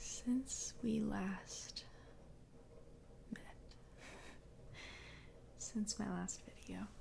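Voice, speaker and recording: Whispering at a very slow pace, a woman leaves long, frequent pauses while noticeable background noise can be heard. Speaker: ASMR creator. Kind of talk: soft-spoken ASMR reading and ramble. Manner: soft, quiet, slow.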